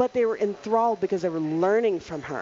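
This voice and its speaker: A woman speaks at a fairly quick pace, her pitch medium with ordinary variation. Noticeable background noise runs underneath. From Louisiana. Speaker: chef. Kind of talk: casual chat. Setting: studio.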